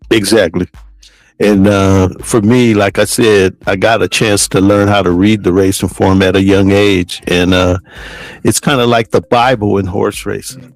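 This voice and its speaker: A man speaks in an ordinary speaking voice, fairly low in pitch, at a fairly slow pace, with fairly even intonation and very even loudness. The sound is dry and close, with no echo. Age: 60s. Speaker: podcast host, horse racing handicapper. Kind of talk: casual chat.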